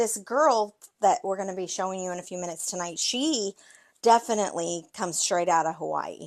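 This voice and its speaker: A woman at medium pitch and moderate pace, lively in intonation, against a quiet background. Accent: American. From Maine, US. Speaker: card-making video host. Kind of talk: live tutorial chat with viewers. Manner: casual, chatty.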